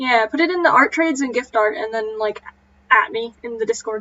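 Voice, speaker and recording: A woman talks at a moderate pace in a fairly high, squeaky voice. Her pitch varies in an ordinary way. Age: 20s. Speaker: animator streamer. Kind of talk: casual chat.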